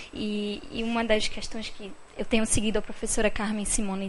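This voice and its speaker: A woman speaks with fairly even intonation in a room with audible echo. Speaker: audience member asking a question. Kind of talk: question from the floor at a panel event. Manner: halting, many fillers.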